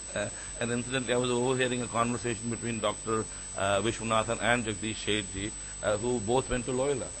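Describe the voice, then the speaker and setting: Over noticeable background noise and audible room echo, a man speaks very fast in a medium pitch with monotone, flat intonation. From Delhi, India. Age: 50s. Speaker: business executive. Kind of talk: conference speech. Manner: halting.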